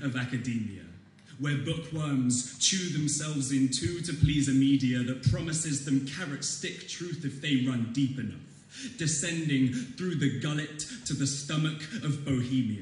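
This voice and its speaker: A man with a normal speaking voice talks fairly slowly at a fairly high pitch, his intonation fairly even. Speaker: student slam poet. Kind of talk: slam poetry performance. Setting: live audience in a hall.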